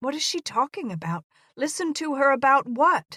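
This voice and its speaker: In a put-on character voice, a woman speaks at a high pitch and a moderate pace with very wide pitch swings, in a very clean recording with a silent background. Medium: read story. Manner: curt, demanding.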